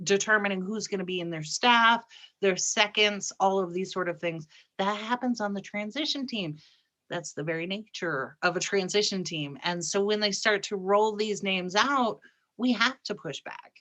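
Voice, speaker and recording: A woman's bright, sharp voice at medium pitch, moderate pace, and ordinary pitch variation, over a quiet background. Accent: American. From Upper Peninsula of Michigan. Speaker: political talk show co-host. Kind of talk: casual political chat. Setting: live stream.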